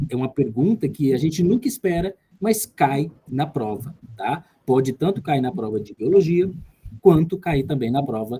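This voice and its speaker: Somewhat breathy and dark, mellow in tone, a man speaks at a fairly slow pace with a fairly high pitch and lively intonation. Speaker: tutor. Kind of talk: lecture.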